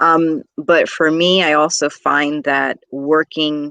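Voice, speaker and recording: A woman speaks with a very deep, low pitch in a dry, close sound with no echo. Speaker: teacher and speaker. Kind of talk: interview answer.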